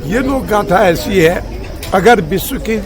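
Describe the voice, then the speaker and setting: Crowd noise sits behind a man whose pitch varies in an ordinary way. Audible room echo surrounds his voice. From rural Almora district, Kumaon, Uttarakhand. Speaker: folk culture writer and researcher. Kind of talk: interview.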